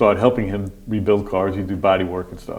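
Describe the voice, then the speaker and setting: The speech comes at a very fast pace with fairly even intonation. Audible room echo surrounds it. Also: man. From upstate New York, Montgomery County (moved from Brooklyn at ten). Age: 60s. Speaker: county sheriff. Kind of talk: interview, casual chat. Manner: halting, with frequent fillers and restarts.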